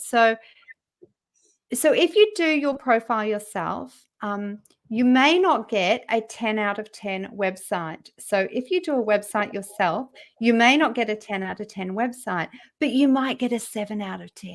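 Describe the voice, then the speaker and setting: In a very clean recording with a silent background, a woman with an Australian accent talks at a moderate pace in a fairly high voice with lively intonation. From Western Australia. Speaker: LinkedIn profile writer and trainer. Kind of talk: interview.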